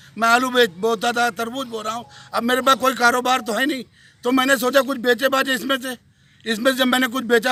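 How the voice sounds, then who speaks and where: A man's raised, projected voice, extremely high in pitch, bright and sharp in tone, with fairly even intonation. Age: 60s. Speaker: farmer. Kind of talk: news interview.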